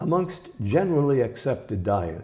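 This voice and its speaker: Somewhat breathy male speech with pitch swinging very widely. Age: 80s+. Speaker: health author. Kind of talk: interview answer.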